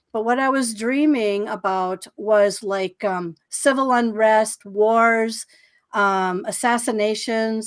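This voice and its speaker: A woman talks with a fairly high pitch and ordinary pitch variation. The recording is very clean, with a silent background. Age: 60s. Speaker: psychic guest on a paranormal podcast. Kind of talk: interview, personal life story. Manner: casual, with many fillers and restarts.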